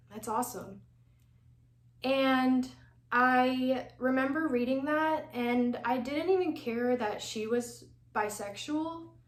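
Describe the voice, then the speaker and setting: A woman with an American accent at a very slow, high-pitched delivery, broken by long, frequent pauses, with audible room echo. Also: ordinary pitch variation. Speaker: doll collecting YouTuber. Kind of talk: personal testimony. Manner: relaxed, chill.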